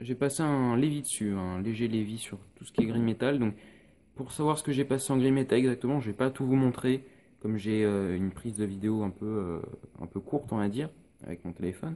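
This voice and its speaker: The tone is dark and mellow. The pace is fairly quick, with ordinary pitch variation. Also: man, medium pitch for a man. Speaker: miniature painting youtuber. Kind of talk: tutorial. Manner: hesitant, many filler sounds.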